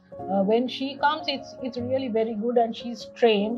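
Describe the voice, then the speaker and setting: A woman's fairly high voice at a moderate pace, with ordinary pitch variation and clear music in the background. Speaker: caregiver daughter. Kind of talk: interview answer. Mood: calm, thoughtful. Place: garden. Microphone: lapel.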